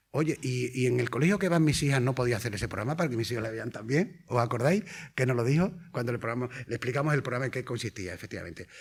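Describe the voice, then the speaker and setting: A man speaks very fast in a medium pitch, somewhat breathy. His intonation is lively. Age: 60s. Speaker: primary school teacher and patient advocate. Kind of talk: conference lecture. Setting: conference hall with audience.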